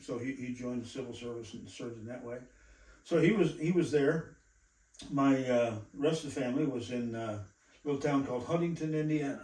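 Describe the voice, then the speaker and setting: A dark, mellow, somewhat breathy tone with an American accent moves at a fairly quick pace with ordinary pitch variation. Loudness swings widely, and room echo is audible. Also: man, medium pitch for a man. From northeastern Iowa, US Midwest. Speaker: pastor. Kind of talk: testimony. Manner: halting, many fillers.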